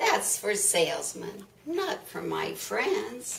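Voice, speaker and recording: A woman's put-on character voice at a very slow pace. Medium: read story. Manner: dramatic, exasperated.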